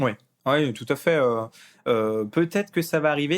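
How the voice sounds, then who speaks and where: At a moderate pace, a man talks with a fairly high pitch and ordinary pitch variation, recorded very cleanly against a silent background. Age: 30s. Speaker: hobby business owner and youtuber. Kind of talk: casual podcast interview. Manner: hesitant, many fillers.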